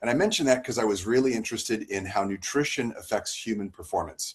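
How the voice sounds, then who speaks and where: A man's plain, everyday voice with ordinary pitch variation at a fairly quick pace. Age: 50s. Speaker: family medicine doctor. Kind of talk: talk on health.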